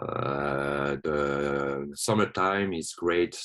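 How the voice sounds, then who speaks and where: Music plays in the background as a man with a non-native accent speaks at a very deep, low pitch. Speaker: watsu therapist. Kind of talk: presentation. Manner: halting.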